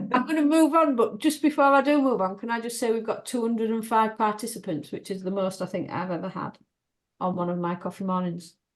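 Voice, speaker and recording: A woman talks very fast in a Yorkshire accent. Her pitch is fairly high and her intonation lively. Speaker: webinar host. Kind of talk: online meeting hosting.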